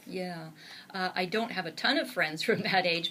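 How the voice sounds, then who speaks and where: A woman with a Canadian accent and lively intonation, with noticeable background noise. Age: 60s. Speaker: author and blogger. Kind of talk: interview. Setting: studio.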